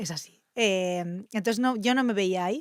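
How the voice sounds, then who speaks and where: At a moderate pace, a woman speaks in a medium pitch, the sound dry and close with no echo. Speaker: journalist. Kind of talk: casual interview.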